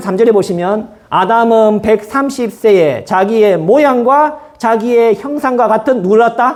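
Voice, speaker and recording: Lively intonation marks this man's speech. His pitch is extremely high. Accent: strong Gyeongsang. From Gyeongsang region, Korea. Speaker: pastor. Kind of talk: sermon. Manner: fast.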